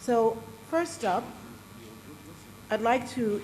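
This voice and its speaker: A very slow-paced woman's voice, fairly high in pitch, with audible room echo. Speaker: panel moderator. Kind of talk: moderating a panel at a forum. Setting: stage with audience.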